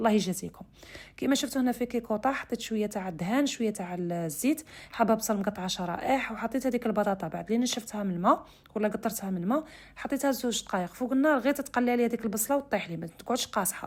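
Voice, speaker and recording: Talking at a very fast pace, a woman uses a fairly high voice with ordinary pitch variation. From Algeria, Oran (west). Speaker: cooking channel host. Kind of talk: cooking tutorial. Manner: casual, conversational.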